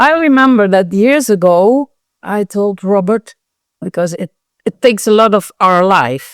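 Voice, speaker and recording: In a normal speaking voice, a woman talks at a fairly slow pace and medium pitch with lively intonation, the sound dry and close with no echo. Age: 60s. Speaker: scale model show organizer. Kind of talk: interview conversation.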